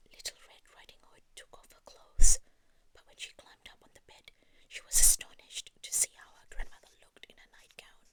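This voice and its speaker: Someone is whispering at a moderate pace. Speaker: ASMR creator. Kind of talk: read story. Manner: whispered; soft-spoken.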